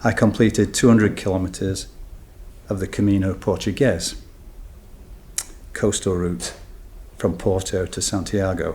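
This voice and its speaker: Somewhat breathy speech moves at a moderate pace with fairly even intonation and long, frequent pauses. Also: man, very deep, low pitch for a man. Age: 70s. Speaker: cancer patient sharing experience. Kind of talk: prepared talk to event audience.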